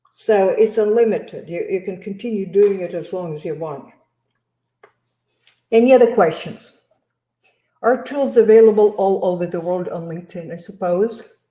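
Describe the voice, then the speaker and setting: A woman speaks at a moderate pace in a dark, mellow tone, with ordinary pitch variation and big swings in loudness. Long, frequent pauses break up her speech, and audible room echo surrounds it. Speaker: sourcing trainer presenting to recruiters. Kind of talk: live webinar presentation. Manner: halting, many fillers. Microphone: video call.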